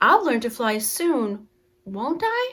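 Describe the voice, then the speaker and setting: This female-sounding voice is a put-on character voice pitched high for a woman. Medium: read story.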